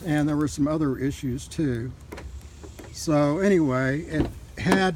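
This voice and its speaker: At a fairly slow pace, a man speaks in a fairly high pitch with ordinary pitch variation. Noticeable background noise fills the clip. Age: 60s. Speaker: vehicle owner reviewing his truck. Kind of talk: casual video review. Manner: hesitant, many fillers.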